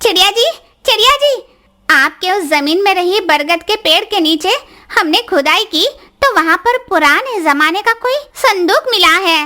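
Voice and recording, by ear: A cartoonish character voice with an extremely high pitch moves along at a moderate pace.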